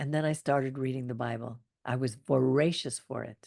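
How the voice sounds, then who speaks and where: Here a woman talks at a moderate pace. The background is quiet. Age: 70s. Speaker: study group member sharing life story. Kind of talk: personal testimony in interview. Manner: conversational, with hesitations.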